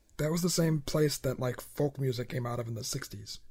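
The man's voice is somewhat breathy. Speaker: podcast host. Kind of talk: casual chat.

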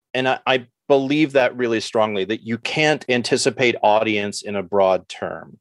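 With an American accent, a man in an unremarkable speaking voice talks at a moderate pace and medium pitch with ordinary pitch variation and hardly any pauses, the sound dry and close with no echo. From New York City. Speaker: artist. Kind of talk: interview.

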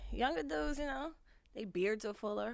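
A woman's raised, projected voice at a fairly quick pace. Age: 30s. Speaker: podcast host. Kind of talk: casual chat.

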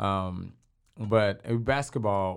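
Here is a man with a Texan accent. His pitch is very deep and low. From Texas, Waco. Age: young. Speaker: basketball team owner. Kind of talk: casual interview.

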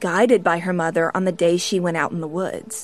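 A woman talks at a fairly quick pace with music playing in the background. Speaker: true crime podcast host. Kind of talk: true-crime narration. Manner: measured, storytelling cadence with suspenseful emphasis; earnest, sombre, conversational.

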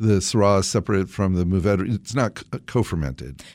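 The recording is very clean, its background silent. Only a man's voice is heard. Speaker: podcast host. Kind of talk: casual interview.

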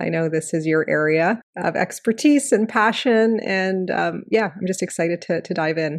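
A woman with an ordinary speaking voice and a fairly low pitch talks at a moderate pace with ordinary pitch variation against a quiet background. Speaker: podcast host. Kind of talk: interview conversation.

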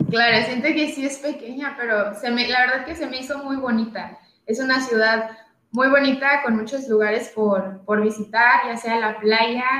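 With a bright, sharp tone and a high pitch, a woman speaks at a moderate pace in a room with audible echo. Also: fairly even intonation. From Tijuana, Baja California, Mexico. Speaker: professional footballer. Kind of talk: interview. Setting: live stream.

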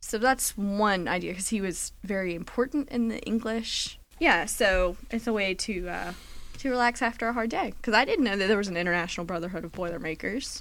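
A woman's medium-pitched, ordinary speaking voice at a fairly quick pace, with ordinary pitch variation, on a very clean recording with a silent background. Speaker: podcast co-host. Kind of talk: casual chat.

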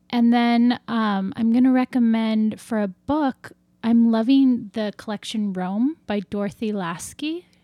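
Recorded very cleanly against a silent background, dry and close with no echo, a woman with an ordinary speaking voice speaks fairly slowly at a fairly high pitch with ordinary variation. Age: 30s. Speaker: novelist. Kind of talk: casual chat.

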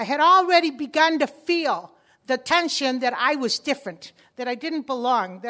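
A woman speaks in a high, raised and projected voice. Her tone is bright and sharp. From Chicago, US. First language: Spanish. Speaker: community organizer. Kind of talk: conference talk.

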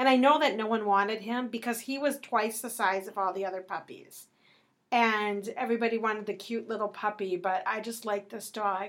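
A woman talks at a fairly quick pace in an unremarkable speaking voice. Her pitch is fairly high, with ordinary pitch variation. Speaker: podcast co-host. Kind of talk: casual family chat.

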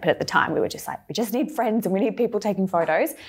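The voice carries vocal fry in a very clean recording with a silent background. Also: woman. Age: 30s. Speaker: skincare brand co-founder. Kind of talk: interview. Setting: studio.

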